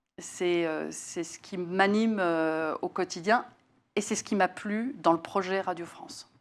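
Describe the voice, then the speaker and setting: A woman at medium pitch, very slow pace, ordinary pitch variation and big swings in loudness, on a very clean recording with a silent background. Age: 60s. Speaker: facilities and workplace services executive. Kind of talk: interview. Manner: hesitant, many fillers.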